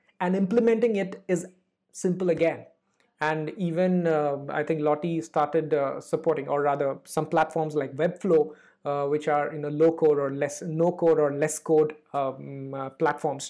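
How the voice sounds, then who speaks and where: Against a quiet background, a man with a fairly high pitch and a dark, mellow tone speaks with fairly even intonation. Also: moderate pace. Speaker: motion designer. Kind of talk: interview. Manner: hesitant, many fillers.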